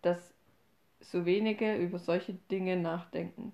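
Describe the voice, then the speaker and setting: The voice has a dark, mellow tone, fairly even intonation, and a fairly slow pace. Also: woman. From Upper Franconia, Bavaria. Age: 20s. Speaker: podcast host. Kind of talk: casual chat.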